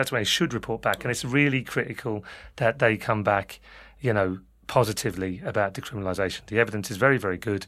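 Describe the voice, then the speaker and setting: Over a silent background in a very clean recording, a man talks very fast with ordinary pitch variation. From London, England. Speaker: drug policy charity worker. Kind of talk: panel discussion interview.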